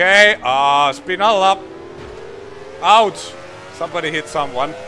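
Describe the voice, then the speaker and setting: Against noticeable background noise, a man speaks at a fairly slow pace in a high voice with lively intonation. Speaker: gaming streamer. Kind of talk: live gameplay commentary. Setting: live stream from home office.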